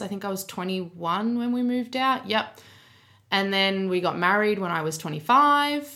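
Her tone bright and sharp, a woman with an Australian accent speaks with ordinary pitch variation. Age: 20s. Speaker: podcast co-host. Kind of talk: casual chat. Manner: laughs often.

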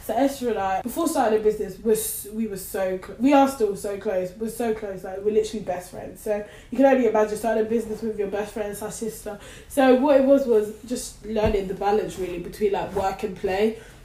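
A woman talks fairly quickly with fairly even intonation while noticeable background noise goes on behind her. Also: big swings in loudness. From London, England. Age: 20s. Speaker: makeup artist and entrepreneur. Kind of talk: casual interview.

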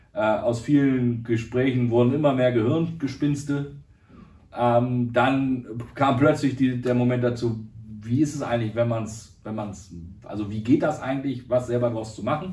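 A man speaks at a fairly slow pace, his intonation fairly even. Audible echo from the room surrounds his voice. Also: medium pitch for a man. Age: 30s. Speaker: agritech founder. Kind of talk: interview.

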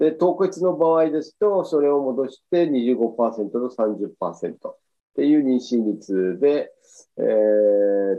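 This is a man with a medium pitch. His intonation is lively. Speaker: physician. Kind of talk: lecture. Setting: video call. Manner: halting.

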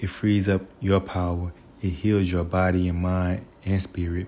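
This man's voice sits very deep and low, with a dark, mellow tone and a somewhat breathy quality. He speaks at a moderate pace. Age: 30s. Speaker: vlogger. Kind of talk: personal monologue. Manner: reflective.

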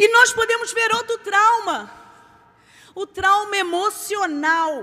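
A woman speaks in a raised, projected voice. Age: 40s. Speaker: preacher. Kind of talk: sermon.

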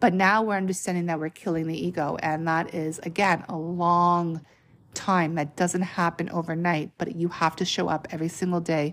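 A woman with a normal speaking voice, fairly low in pitch, at a moderate pace with fairly even intonation, in a very clean recording with a silent background. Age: 30s. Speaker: spiritual podcaster. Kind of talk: spiritual monologue. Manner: casual, conversational.

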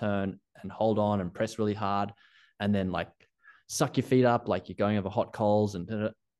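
A man with an Australian accent talks at a fairly quick pace, his pitch fairly low, over a quiet background. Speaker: ski coaching founder. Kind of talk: casual interview chat.

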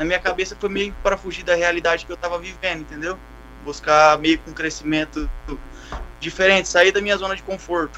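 A man with a high pitch and a bright, sharp tone talks at a fairly quick pace in a monotone, flat intonation, with long, frequent pauses and big swings in loudness. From Brazil. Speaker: Brazilian emigrant working on a cattle operation. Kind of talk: casual chat.

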